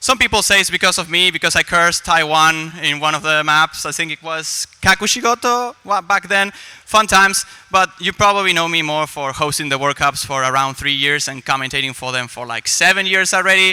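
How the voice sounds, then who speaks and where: A man's high voice at a fairly quick pace with hardly any pauses, ordinary pitch variation, a dry, close sound with no echo, and noticeable background noise. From Argentina. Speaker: esports commentator and host. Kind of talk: live event hosting. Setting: stage with live audience.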